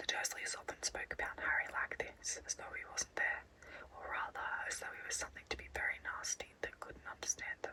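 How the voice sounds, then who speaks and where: With an Australian accent, a woman whispers at a fairly quick pace over noticeable background noise. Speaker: ASMR artist. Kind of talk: bedtime story reading. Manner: whispered.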